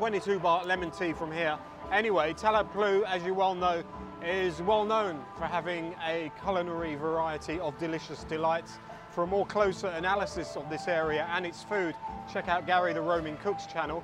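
A man's high-pitched voice at a moderate pace, dry with no echo, clear music playing behind. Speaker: presenter. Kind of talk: travel vlog narration to camera.

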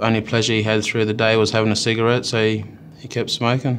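There is light background noise as a man talks. His medium-pitched voice holds a monotone, flat intonation. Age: 20s. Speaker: ex-smoker ambassador. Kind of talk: testimony; interview answer. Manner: halting. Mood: sombre, reflective. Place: studio.

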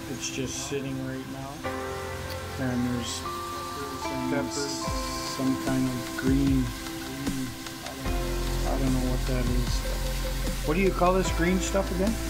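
Loud music plays in the background. The speaker goes at a fairly slow pace with long, frequent pauses. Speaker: narrator filming the cook. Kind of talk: casual vlog chat. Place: kitchen. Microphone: phone near.

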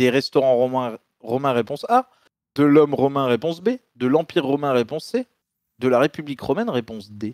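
The speech moves at a moderate pace with lively intonation. The background is quiet and the sound is dry, with no echo. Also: man. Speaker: game show quiz master on stream; streamer reading quiz questions. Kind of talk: game show parody. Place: home room. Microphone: studio mic.

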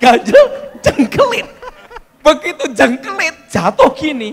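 Extremely high for a man, his pitch makes very wide swings as he speaks at a very slow pace with long, frequent pauses over light background noise. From Indonesia. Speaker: preacher. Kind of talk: sermon with audience call-and-response. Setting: talkshow, studio with audience. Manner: animated; humorous, storytelling. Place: church. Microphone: handheld.

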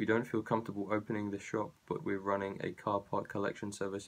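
Speaking at a fairly quick pace, a man with a fairly low pitch varies it in an ordinary way. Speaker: vlogger. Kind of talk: casual vlog chat, complaint. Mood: annoyed, sarcastic. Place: home room. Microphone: phone near.

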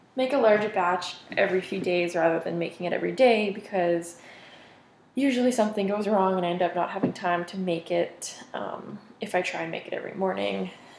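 A woman at a fairly quick pace with ordinary pitch variation, audible room echo and light background noise. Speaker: home vlogger. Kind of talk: casual vlog chat. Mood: relaxed, friendly. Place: kitchen. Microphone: camera far.

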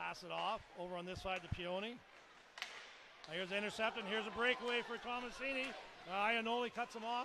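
Raising and projecting his voice, a man speaks at a high pitch in a dry sound with no echo, with noticeable background noise behind him. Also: ordinary pitch variation. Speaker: hockey play-by-play commentator. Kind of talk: live hockey play-by-play commentary, calling goals and replays as they happen. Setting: broadcast from arena. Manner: animated on goals, quick rapid-fire calls. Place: stadium.

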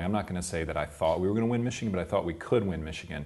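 In an American accent, a man is talking. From US South, South Carolina. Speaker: political campaign consultant. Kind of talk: interview. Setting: recorded interview in Göttingen. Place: office.

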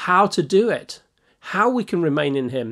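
A man speaks at a fairly slow pace in a high voice over a quiet background. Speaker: pastor or Bible teacher. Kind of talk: devotional Bible teaching talk. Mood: warm, earnest. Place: home room. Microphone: phone near.

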